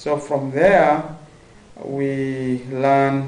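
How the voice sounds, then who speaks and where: Male voice of medium pitch, with audible room echo and noticeable background noise. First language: Somali. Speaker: university student. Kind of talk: interview. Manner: halting, many fillers.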